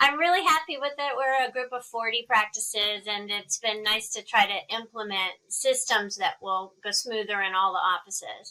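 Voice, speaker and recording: With a slight Texan accent, a woman talks at a moderate pace with hardly any pauses, her fairly high voice bright and sharp in tone and showing ordinary pitch variation. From Texas. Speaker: dermatologist, interviewer. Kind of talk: casual professional interview.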